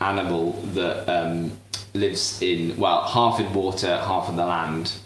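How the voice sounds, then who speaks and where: A man with a British accent talks at a fairly slow pace with fairly even intonation. Audible room echo and noticeable background noise surround him. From southern England. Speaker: cooking show host. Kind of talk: live cooking demonstration. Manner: halting, many fillers.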